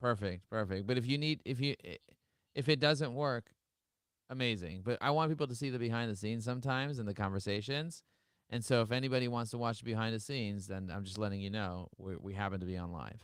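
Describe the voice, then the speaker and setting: Someone with a New York accent talks at a very fast pace with ordinary pitch variation. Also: man, medium pitch for a man. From Brooklyn, New York. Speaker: podcast host and entrepreneur. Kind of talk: casual interview chat. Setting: live-streamed video call. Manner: fast, animated.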